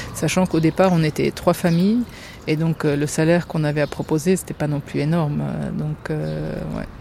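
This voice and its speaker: A woman speaks at a moderate pace in a very deep, low voice. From France, Germany and Lebanon. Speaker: mother who co-founded a forest school. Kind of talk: interview testimony.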